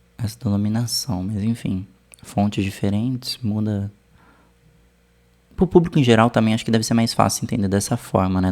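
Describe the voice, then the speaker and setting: Pitched fairly low, a man's voice moves with ordinary pitch variation. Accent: Brazilian. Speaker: art history teacher reacting to video. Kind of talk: casual video commentary. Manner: slow.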